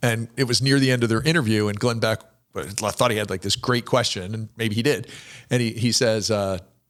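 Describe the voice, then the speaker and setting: Heard in a very clean recording with a silent background, a plain, everyday voice moves with ordinary pitch variation. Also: man. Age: 60s. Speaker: podcast host. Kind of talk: casual interview conversation.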